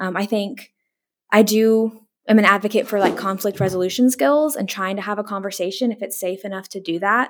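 A woman's plain, everyday voice, medium in pitch with ordinary pitch variation and a fairly quick pace, on a very clean recording with a silent background. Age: 20s. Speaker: mental health counselor. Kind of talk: casual interview. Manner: lots of fillers like 'like' and 'um'.

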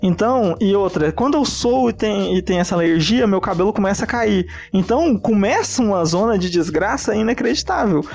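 A man's high-pitched voice at a moderate pace, with very even loudness and ordinary pitch variation. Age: 20s. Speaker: chef. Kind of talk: casual chat.

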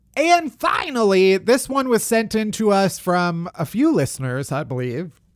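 Very wide pitch swings mark this man's high-pitched voice, with a Boston accent at a fairly slow pace, in a very clean recording with a silent background. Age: 30s. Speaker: podcast host. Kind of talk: casual chat. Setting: home office.

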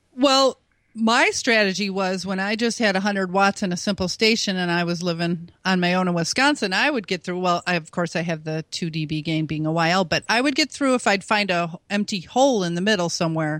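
With an American accent, a woman talks fairly quickly in an unremarkable speaking voice at medium pitch and ordinary pitch variation, on a very clean recording with a silent background. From US Midwest. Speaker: ham radio DXer and contester. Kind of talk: casual interview.

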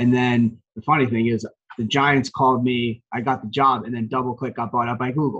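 In an American accent, a man of medium pitch speaks at a fairly quick pace with monotone, flat intonation. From New Jersey, Morris County. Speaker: sports team marketing executive. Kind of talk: interview.

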